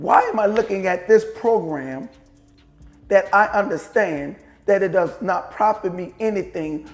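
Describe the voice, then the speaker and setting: Music plays in the background. The speaker has a New Orleans accent and an animated tone at a fairly slow pace. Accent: New Orleans pronunciation. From US South, New Orleans. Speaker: podcast host, motivational speaker. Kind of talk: motivational monologue. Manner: animated, rhetorical questions.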